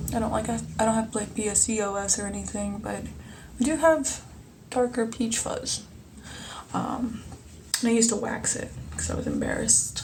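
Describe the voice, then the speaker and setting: Audible room echo surrounds a woman's voice. She talks at a moderate pace with long, frequent pauses. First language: Spanish. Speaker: vlogger. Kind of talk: casual vlog monologue. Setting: at home. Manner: rambling, hesitant with many ums.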